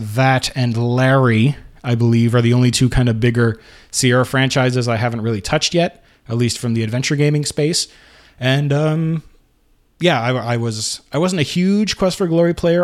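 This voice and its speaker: A plain, everyday voice from a man of medium pitch, at a moderate pace with ordinary pitch variation, in a very clean recording with a silent background. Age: 30s. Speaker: retro gaming podcast host. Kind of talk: casual monologue. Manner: frequent fillers and repetitions.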